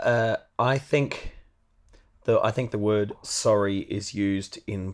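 In a very clean recording with a silent background, a man with an Australian accent speaks at a fairly slow pace. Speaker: podcast co-host, musician. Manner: dry, punning humour.

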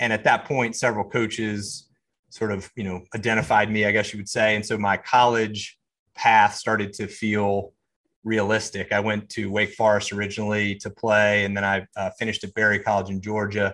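Over a quiet background, the voice has a bright, sharp tone and a monotone, flat intonation. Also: man, fairly low pitch for a man, moderate pace. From US South, Charlotte, North Carolina. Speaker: serial entrepreneur. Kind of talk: interview.

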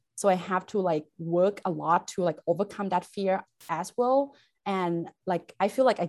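Medium-pitched woman with a Thai accent, moderate pace and ordinary pitch variation. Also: quiet background. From Thailand. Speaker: chemistry instructor. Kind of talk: interview. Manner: halting, many fillers.

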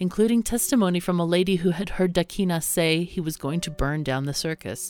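In an ordinary speaking voice, a woman talks at a fairly quick pace with a fairly low pitch and ordinary pitch variation, recorded very cleanly against a silent background. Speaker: podcast narrator. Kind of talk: true-crime documentary narration. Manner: grave, measured storytelling with solemn, steady pacing.

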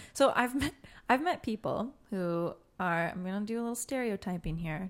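On a very clean recording with a silent background, a woman with an American accent speaks at a moderate pace in a plain, everyday voice with ordinary pitch variation. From Detroit area, Michigan. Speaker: singer-songwriter guest. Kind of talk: interview chat.

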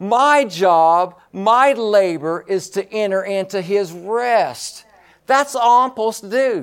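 A man speaks at a high pitch with ordinary pitch variation. His tone is animated. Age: 60s. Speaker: pastor. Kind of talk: sermon. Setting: church.

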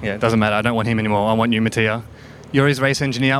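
This man talks at a very fast pace. His pitch is medium and his intonation fairly even. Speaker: podcast host. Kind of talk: casual chat. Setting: hotel room.

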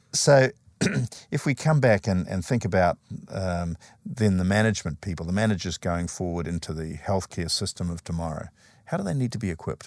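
Over a dry, close sound with no echo, a man with a very deep, low pitch talks at a fairly quick pace with lively intonation. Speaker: interviewer host. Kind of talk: formal interview.

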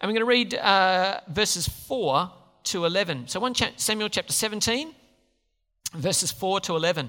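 A raised, projected voice with a bright, sharp tone, lively intonation and a fairly slow pace, on a very clean recording with a silent background. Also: man. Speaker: preacher. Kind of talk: sermon. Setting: church. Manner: halting.

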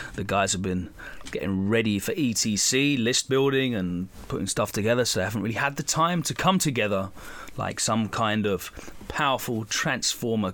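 This man has a plain, everyday voice at a medium pitch. He talks at a moderate pace with lively intonation. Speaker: podcast host. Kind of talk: casual podcast intro.

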